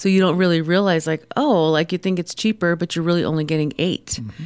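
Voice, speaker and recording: On a very clean recording with a silent background, a woman with an American accent and fairly low pitch speaks with fairly even intonation. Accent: New York accent gone. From New York City, Queens (born Tucson). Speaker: small business owner. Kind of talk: radio interview. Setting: radio studio.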